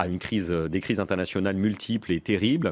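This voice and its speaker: This man's voice sits very deep and low. His pitch varies in an ordinary way. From France. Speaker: former presidential communications adviser and author; interview guest. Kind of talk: political interview. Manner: quick, lively. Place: studio. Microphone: studio mic.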